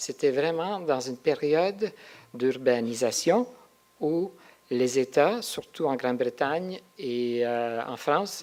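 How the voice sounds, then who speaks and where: A man with a non-native accent speaks in a fairly high voice with lively intonation. His pace is very slow. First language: not French; French is his third language (speaking French). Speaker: researcher and symposium speaker. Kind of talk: conference talk. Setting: symposium with audience. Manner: halting, with hesitations.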